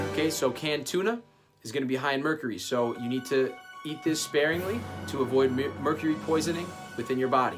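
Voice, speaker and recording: This man talks at a very fast pace in a fairly high pitch, with ordinary pitch variation. Music plays in the background. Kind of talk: informational infomercial presentation. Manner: casual, explanatory.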